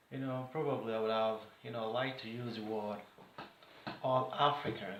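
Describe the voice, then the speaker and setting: Moderate pace from a man at medium pitch, with audible room echo and noticeable background noise. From Nigeria. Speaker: vlogger. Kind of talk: political commentary monologue. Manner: animated.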